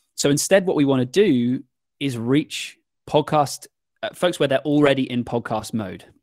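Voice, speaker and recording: Dry and close with no echo, a man's fairly high voice carries a British accent and ordinary pitch variation. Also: moderate pace. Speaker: podcast production agency owner. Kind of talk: interview. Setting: video call.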